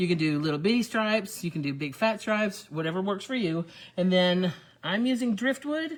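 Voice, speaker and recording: A woman at a fairly quick pace, her pitch swinging very widely. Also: medium pitch for a woman. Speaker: furniture painting shop owner demonstrating paint. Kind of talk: live video tutorial. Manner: casual, chatty; loud.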